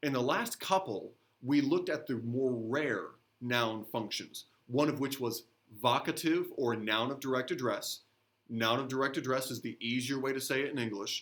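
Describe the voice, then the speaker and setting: A man talks at a moderate pace in a normal speaking voice. His pitch is medium, with fairly even intonation. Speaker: middle school teacher. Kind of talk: recorded grammar lesson. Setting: recorded video lesson.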